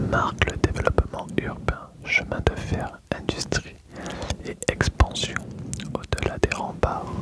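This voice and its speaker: Whispering comes at a very slow pace over noticeable background noise. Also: man. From Perpignan, France. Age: 20s. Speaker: ASMR creator. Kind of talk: ASMR roleplay, history teacher lesson.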